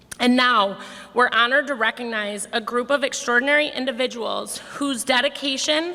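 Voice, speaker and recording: Pitched high, a woman speaks at a moderate pace. Noticeable background noise can be heard. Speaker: foundation board chair. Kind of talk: prepared speech at awards breakfast. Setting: ballroom stage with audience.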